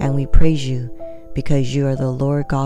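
A woman's very deep, low-pitched voice over background music. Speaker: Bible reader, devotional narrator. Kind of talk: spoken devotional prayer.

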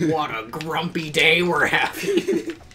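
This is a put-on character voice. It sits at a middle pitch and moves at a fairly slow pace. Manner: grumpy.

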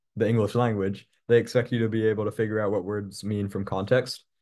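Against a quiet background, a man with a fairly low voice talks at a very fast pace. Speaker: test prep tutor. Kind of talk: tutorial. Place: home room. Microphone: webcam.

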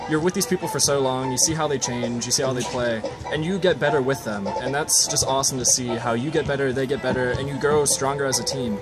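Over clear background music, a man rattles along at a very fast pace with hardly any pauses and ordinary pitch variation. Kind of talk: interview answer. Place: stadium. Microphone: phone near.

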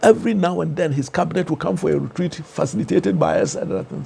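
A man talks with a Ghanaian accent. His pace is very fast. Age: 70s. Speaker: professor and author; professor. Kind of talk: interview. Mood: animated, reflective. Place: studio. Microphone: lapel.

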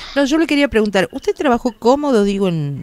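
Her pitch swings very widely as the woman speaks. The sound is dry, with no echo. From Argentina. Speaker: radio co-host. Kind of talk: radio interview. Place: studio.

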